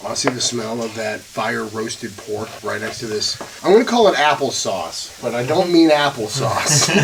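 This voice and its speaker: There is noticeable background noise as a man talks in an animated tone. He speaks with hardly any pauses. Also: moderate pace. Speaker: BBQ YouTuber. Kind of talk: casual cooking vlog. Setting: castle fireplace, indoors.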